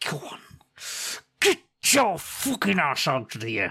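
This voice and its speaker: A man puts on a raspy character voice at a fairly high pitch. He speaks at a fairly slow pace. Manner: tough, dismissive.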